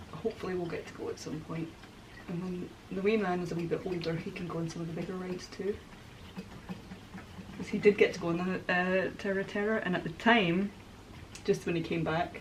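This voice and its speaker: A woman's monotone, flat delivery at a fairly quick pace, with long, frequent pauses over light background noise. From Scotland, Glasgow. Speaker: crafter making a miniature dollhouse. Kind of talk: casual crafting vlog chat. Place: home room.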